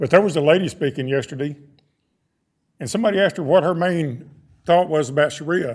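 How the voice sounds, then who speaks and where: A man with a Texan accent, fairly high pitch and ordinary pitch variation. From Texas. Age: 60s. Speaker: public commenter at school board meeting. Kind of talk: public comment speech. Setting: boardroom public meeting.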